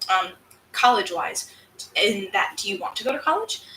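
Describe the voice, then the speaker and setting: In an American accent, a woman speaks at a moderate pace. Noticeable background noise runs underneath. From upstate New York, US. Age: 20s. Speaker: crafter and streamer. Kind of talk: live stream Q&A chat. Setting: live stream. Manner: animated.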